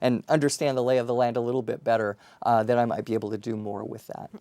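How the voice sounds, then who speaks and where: A very clean recording with a silent background and a dry, close sound that has no echo. The voice has a Colorado accent, a dark, mellow tone and fairly even intonation. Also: man. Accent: Colorado, Rocky Mountain. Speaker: university dean. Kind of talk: interview.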